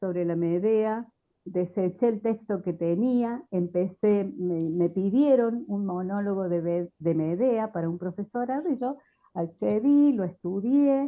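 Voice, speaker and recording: A woman talks at a very slow pace. Her medium pitch moves with lively intonation. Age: 60s. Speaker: theatre researcher and language teacher. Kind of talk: panel discussion. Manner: hesitant, many fillers.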